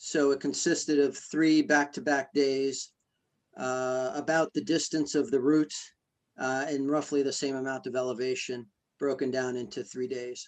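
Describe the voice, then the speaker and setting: A man speaks at a moderate pace with fairly even intonation. His pitch is fairly high. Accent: American. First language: Greek. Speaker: ultramarathon runner. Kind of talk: interview. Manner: hesitant, many fillers.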